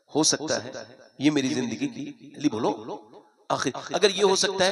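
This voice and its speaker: The intonation is lively. A man talks at a moderate pace. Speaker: Islamic preacher. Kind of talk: religious sermon to a live gathering. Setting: outdoor religious gathering. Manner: emotional, moving.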